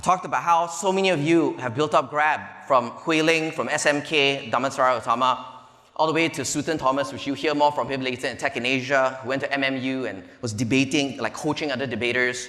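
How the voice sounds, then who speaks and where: Amid audible room echo and noticeable background noise, a man talks at a very fast pace and fairly high pitch, with ordinary pitch variation. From Malaysia (Petaling Jaya area). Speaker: venture capital investor, conference speaker. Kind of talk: conference keynote talk. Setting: stage with audience. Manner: animated.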